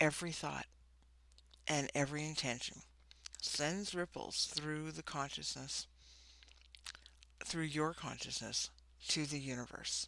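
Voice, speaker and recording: A soft-spoken woman with a very deep, low pitch and a bright, sharp, calm tone talks at a fairly slow pace. Her intonation is fairly even, with long, frequent pauses. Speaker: spiritual coach and tarot reader. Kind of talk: oracle card reading.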